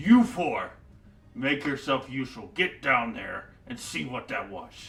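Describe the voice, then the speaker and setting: At a fairly slow pace, a man puts on a character voice. His pitch sits in the medium range. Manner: intimidating, barking orders.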